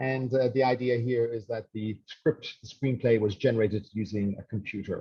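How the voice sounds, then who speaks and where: A somewhat breathy voice at a moderate pace, with fairly even intonation and hardly any pauses. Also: man, medium pitch for a man. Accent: strong Irish. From Ireland, rural west coast. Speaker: professor. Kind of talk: webinar lecture. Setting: online webinar. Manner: hesitant, many fillers and repetitions.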